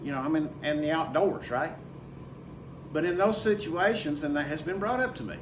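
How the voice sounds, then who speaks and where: A man with a fairly high pitch and lively intonation, with audible room echo and noticeable background noise. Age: 60s. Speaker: school teacher. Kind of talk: casual talk to camera. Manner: conversational, emphatic.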